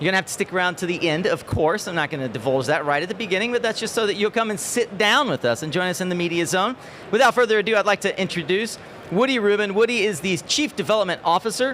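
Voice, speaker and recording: Loud and very fast, a man speaks at a high pitch with ordinary pitch variation. Noticeable background noise sits behind him. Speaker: conference livestream host. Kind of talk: live event interview hosting. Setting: live stage with audience at conference.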